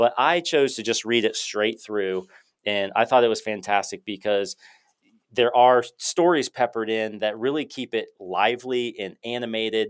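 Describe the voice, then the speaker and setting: A man with medium pitch and a plain, everyday voice speaks at a moderate pace with ordinary pitch variation on a very clean recording with a silent background. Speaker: podcast host, chiropractor. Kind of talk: interview conversation.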